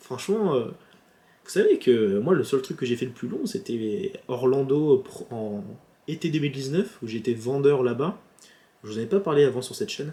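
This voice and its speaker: A man's somewhat breathy, fairly high voice at a moderate pace, with very wide pitch swings and long, frequent pauses. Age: 20s. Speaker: YouTuber. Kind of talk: casual vlog. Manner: halting.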